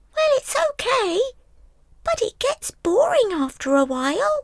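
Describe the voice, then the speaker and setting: In a put-on character voice, the squeaky speech stays at an extremely high pitch with very wide pitch swings. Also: moderate pace. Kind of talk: children's story character voice. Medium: read story. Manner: cheeky.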